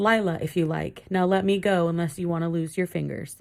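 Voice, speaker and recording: This is a put-on character voice with a growl. It sits at a middle pitch and moves at a fairly quick pace. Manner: growling, threatening.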